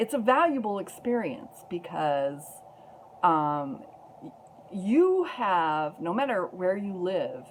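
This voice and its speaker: A woman at a medium pitch talks at a very slow pace, leaving long, frequent pauses. Her pitch swings very widely, and her loudness shifts in big swings. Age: 60s. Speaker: activist vlogger. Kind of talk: personal testimony vlog.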